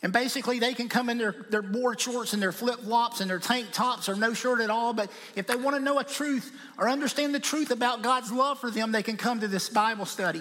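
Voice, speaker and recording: Over noticeable background noise, a man projects a raised voice at an extremely high pitch. He moves at a fairly quick pace with fairly even intonation. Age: 50s. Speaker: missionary. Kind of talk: sermon. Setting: church.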